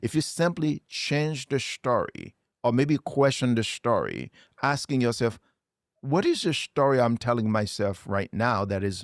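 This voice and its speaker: Intonation is lively, at a moderate pace. The recording is very clean, with a silent background. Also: man. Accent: Haitian. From Haiti. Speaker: motivational speaker. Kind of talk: interview. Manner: animated.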